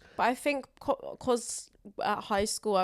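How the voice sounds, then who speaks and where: A woman speaks in a Southern English accent with ordinary pitch variation. The recording is very clean, with a silent background. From southern England (Wimbledon, London). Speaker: comedian. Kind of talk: casual chat. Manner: expressive.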